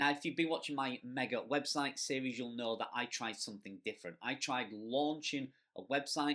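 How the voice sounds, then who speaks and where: Speaking in a strong Yorkshire accent, a man has a medium pitch and a bright, sharp tone. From Yorkshire, northern England. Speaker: blogger and affiliate marketing youtuber. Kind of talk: Q&A video answering viewer questions. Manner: casual, conversational.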